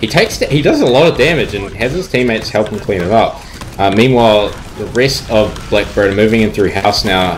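A man with a fairly low pitch speaks at a fairly quick pace. His pitch varies in an ordinary way, with noticeable background noise. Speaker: esports caster. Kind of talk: live esports commentary. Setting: online stream broadcast. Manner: fast, animated play-by-play.

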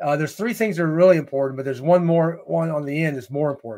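A man's fairly high voice with a dark, mellow tone, ordinary pitch variation and an American accent, against a quiet background. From US, small town. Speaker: leadership speaker and author; speaker. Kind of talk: interview, storytelling. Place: home room. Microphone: webcam.

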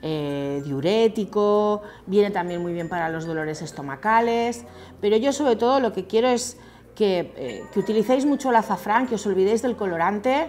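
A woman speaks at a moderate pace and medium pitch, her slightly mellow tone carrying lively intonation with few pauses.

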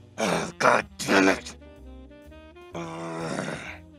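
A man puts on a cartoonish character voice at a low pitch and a very slow pace, bright and sharp in tone with fairly even intonation, over faint music in the background.

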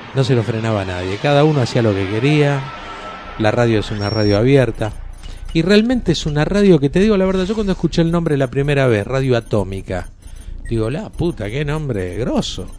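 Over noticeable background noise, a man with an Argentine accent talks at a fairly quick pace, his pitch swinging very widely. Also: medium pitch for a man. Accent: Argentine Rioplatense. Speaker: radio announcer / voice of the station's jingles. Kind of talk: casual greeting to camera, anniversary message. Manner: chatty, informal.

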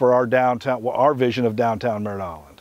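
The speech goes at a moderate pace in a dry sound with no echo. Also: man. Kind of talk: interview answer. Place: open country.

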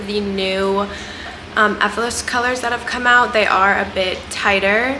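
A woman talks with ordinary pitch variation while noticeable background noise carries on. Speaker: fitness apparel reviewer. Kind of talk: casual vlog chat. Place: home room. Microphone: camera far.

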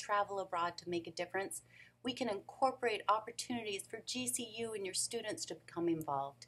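A woman talks at a fairly quick pace in a fairly high pitch. Her pitch varies in an ordinary way. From Phoenix, Arizona (US Southwest). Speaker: nonprofit founder. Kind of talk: pitch presentation. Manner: formal. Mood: earnest, emotional, warm. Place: office. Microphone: webcam.

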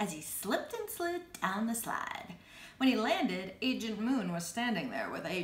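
Just a natural reading voice

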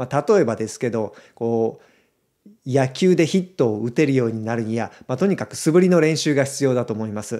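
With a dark, mellow tone, a man speaks at a fairly quick pace, using lively intonation and big swings in loudness. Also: quiet background. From Japan. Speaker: video creator; video creator announcing a community. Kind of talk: casual announcement to viewers; casual explanatory talk to camera. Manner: conversational, frequent fillers. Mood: calm, friendly. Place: home room. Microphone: studio mic.

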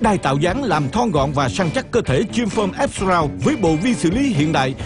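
Music plays in the background as a man speaks at a moderate pace. His voice is high-pitched and swings very widely in pitch. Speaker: infomercial narrator. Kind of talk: TV commercial read. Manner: upbeat, persuasive.

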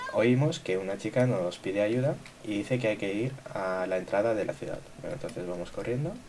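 Over noticeable background noise, a man talks fairly quickly at a fairly low pitch with ordinary pitch variation. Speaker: gaming youtuber. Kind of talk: gameplay commentary. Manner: casual, filler-heavy.

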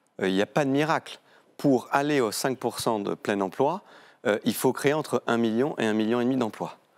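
A man at a fairly slow pace, with ordinary pitch variation and very even loudness. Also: medium pitch for a man, quiet background. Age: 40s. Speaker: member of parliament; guest. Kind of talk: televised political debate. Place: studio. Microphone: lapel.

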